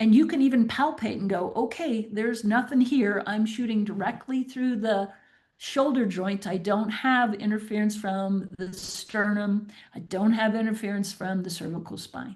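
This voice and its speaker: Somewhat breathy and fairly high in pitch, a woman speaks at a moderate pace with ordinary pitch variation amid audible room echo. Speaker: veterinary specialist. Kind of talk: webinar lecture. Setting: online webinar.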